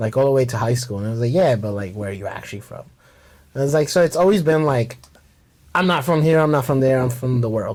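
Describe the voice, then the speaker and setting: Speaking very fast with lively intonation, a man at a medium pitch has a slight Mexican accent. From Mexico City, then Harlem, New York. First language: Spanish. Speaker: bartender. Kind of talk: casual chat.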